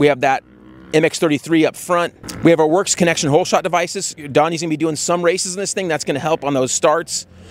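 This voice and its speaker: Talking at a very fast pace, a man with a high pitch keeps his intonation fairly even, and the sound is dry with no echo. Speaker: presenter. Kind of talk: product review commentary. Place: open country. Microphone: handheld.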